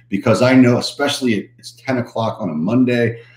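A man talks at a moderate pace. Audible echo fills the room. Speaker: coach. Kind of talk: livestream talk to viewers. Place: office. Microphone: webcam.

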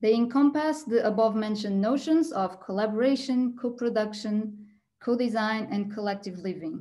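A woman's fairly high, somewhat breathy voice in a Portuguese accent, dark and mellow in tone, at a moderate pace with ordinary pitch variation. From Portugal. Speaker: architect and PhD researcher. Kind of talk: presentation. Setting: video call. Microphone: video call.

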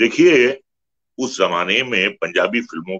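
A man talks over a quiet background. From India. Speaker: film actor. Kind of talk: interview answer. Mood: reminiscent, respectful. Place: home room. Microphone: video call.

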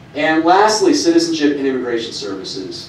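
A man talks at a fairly quick pace, his pitch swinging very widely. Light background noise and audible room echo surround him. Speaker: presenter. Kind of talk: lecture. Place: meeting room.

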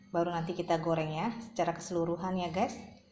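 Room echo is audible as a woman speaks. There is light background noise. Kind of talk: cooking tutorial. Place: kitchen.

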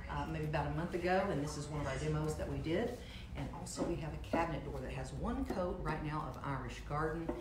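Loud background noise surrounds a woman talking at a very fast pace. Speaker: furniture painting instructor. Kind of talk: tutorial. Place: kitchen. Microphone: camera far.

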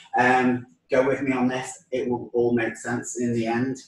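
The recording carries audible room echo. A man talks through it at a moderate pace. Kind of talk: cooking tutorial. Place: kitchen. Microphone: camera far.

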